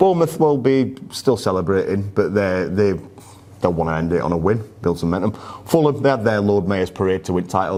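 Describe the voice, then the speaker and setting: A man with a Yorkshire accent, fairly low in pitch, at a fairly quick pace with lively intonation, amid noticeable background noise. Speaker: football podcast host. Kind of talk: casual chat.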